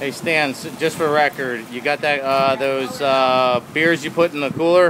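A man talks at a fairly slow pace with fairly even intonation, over noticeable background noise. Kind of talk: casual joking commentary and coaching. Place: boat. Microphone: phone near.

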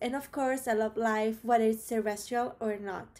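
A woman with an Italian accent talks at a moderate pace. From Rome, Italy; Italy. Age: 20s. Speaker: biology student. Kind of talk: prepared video application. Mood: cheerful, eager. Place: home room. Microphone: webcam.

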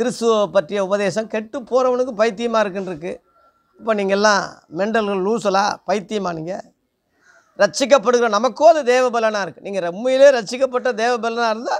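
A man with a Telugu accent, high pitch and ordinary pitch variation, against a quiet background. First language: Telugu (speaking Tamil). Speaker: preacher. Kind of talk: sermon. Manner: halting. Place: home room. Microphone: phone near.

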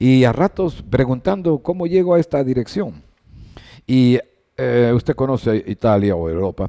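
Over a quiet background, a man with a dark, mellow tone talks at a fairly slow pace, his pitch swinging very widely. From Ecuador. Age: 70s. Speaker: sports broadcaster; sports journalist guest. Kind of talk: interview. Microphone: headset.

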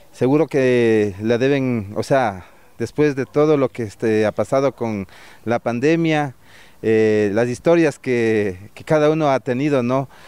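At a fairly slow pace, a man with a dark, mellow tone speaks at a medium pitch with ordinary pitch variation, in a dry sound with no echo. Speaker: radio host. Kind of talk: live radio broadcast chat. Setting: outdoors. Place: market. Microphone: handheld.

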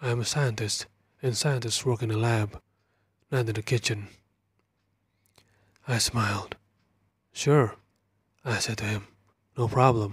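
On a very clean recording with a silent background, a man speaks at a fairly slow pace and medium pitch, somewhat breathy, with fairly even intonation and long, frequent pauses. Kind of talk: whispered horror story narration, first-person. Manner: whispered, soft-spoken.

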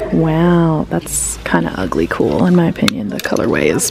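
With noticeable background noise but a dry sound lacking echo, a woman speaks at a fairly slow pace. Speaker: thrift vlogger. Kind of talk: casual vlog chat. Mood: upbeat, excited finds. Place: shop. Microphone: phone near.

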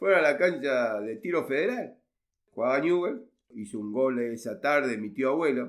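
Using a normal speaking voice, a man talks at a moderate pace with lively intonation and a medium pitch. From Argentina, Rosario. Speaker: relative of a football pioneer. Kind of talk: interview.

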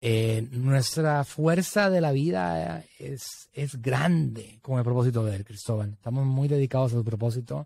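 With a dark, mellow tone and lively intonation, a man talks at a fairly slow pace with hardly any pauses, in a dry sound with no echo. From Puerto Rico, San Juan. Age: 40s. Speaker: digital marketing entrepreneur; podcast guest. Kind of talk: interview conversation. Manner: halting, many fillers. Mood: earnest, reflective about late father. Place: studio. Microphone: studio mic.

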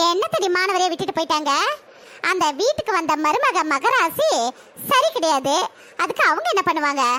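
An extremely high, cartoonish character voice swings very widely in pitch. The pace is moderate. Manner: heated, argumentative.

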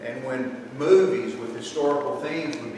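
Amid strong room echo and noticeable background noise, a man with an American accent speaks with ordinary pitch variation. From Tennessee. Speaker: lecturer, historic preservationist. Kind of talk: lecture. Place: hall. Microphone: camera far.

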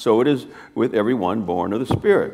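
A man's lively intonation at a moderate pace. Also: quiet background. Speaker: preacher. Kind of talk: scripture reading. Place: church.

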